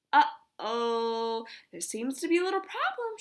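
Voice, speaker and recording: A woman speaks in a put-on character voice, pitched high with very wide swings. Her pace is moderate. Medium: read story. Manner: calm, composed.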